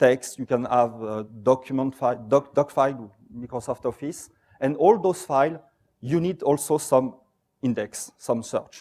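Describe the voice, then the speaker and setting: Speaking in a French accent, a man uses a fairly high pitch and a dark, mellow tone, with ordinary pitch variation at a moderate pace. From France. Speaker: software company presenter. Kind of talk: conference talk.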